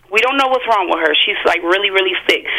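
A woman speaks over noticeable background noise. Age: 30s. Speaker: caller. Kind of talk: testimony.

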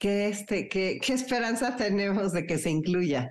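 A woman has a normal speaking voice at a medium pitch. Her intonation is lively against a quiet background. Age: 60s. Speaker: radio host. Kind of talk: radio interview.

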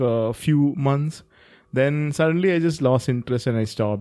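Speaking at a moderate pace, this man has a fairly high pitch, a dark, mellow tone and ordinary variation in pitch. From India. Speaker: podcast co-host, writer. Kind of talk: casual chat.

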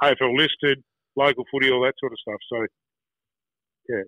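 At a moderate pace, a man with an Australian accent speaks at a medium pitch in a monotone, flat way. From Tasmania, Australia (Wynyard). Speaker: former footballer and school football coach. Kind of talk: casual interview. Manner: halting, with many repeated words.

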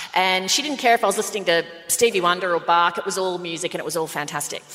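A medium-pitched woman's voice with an Australian accent and lively intonation, over noticeable background noise. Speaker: podcast co-host. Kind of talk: live podcast recording, casual banter. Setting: stage with audience.

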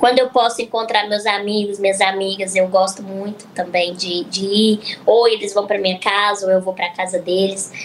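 Noticeable background noise sits under a woman's medium-pitched voice at a moderate pace. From Minas Gerais (Araxá), Brazil. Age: 20s. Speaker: influencer and psychologist. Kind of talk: casual chat.

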